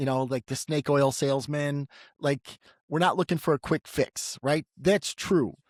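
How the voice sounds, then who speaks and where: A man with an ordinary speaking voice, fairly high in pitch, talks at a moderate pace in a dry, close sound with no echo on a very clean recording with a silent background. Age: 60s. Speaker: clairvoyant podcast host. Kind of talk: intuitive reading.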